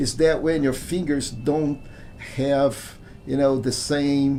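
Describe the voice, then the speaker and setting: A man's fairly high voice at a very slow pace, with fairly even intonation and audible room echo. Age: 60s. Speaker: gaming streamer. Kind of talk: live gameplay commentary. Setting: live stream. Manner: halting.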